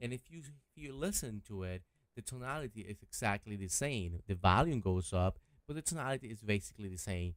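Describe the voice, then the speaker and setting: A man with a medium-pitched voice and lively intonation is captured on a very clean recording against a silent background. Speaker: YouTube gear reviewer. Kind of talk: product review. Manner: halting, frequent self-corrections.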